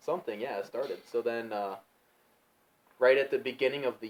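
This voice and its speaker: Here a man speaks with a Midwestern American accent. His intonation is fairly even. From Ohio, United States. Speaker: strength coach and gym manager. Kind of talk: interview answer.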